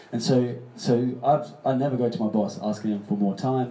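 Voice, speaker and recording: Noticeable background noise and audible room echo around a medium-pitched male voice. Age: 30s. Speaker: public speaker. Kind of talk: live panel discussion. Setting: stage with audience.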